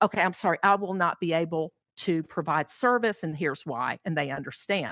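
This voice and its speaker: A woman with an unremarkable speaking voice talks in a fairly low pitch with lively intonation. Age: 60s. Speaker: pet sitter. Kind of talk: interview conversation.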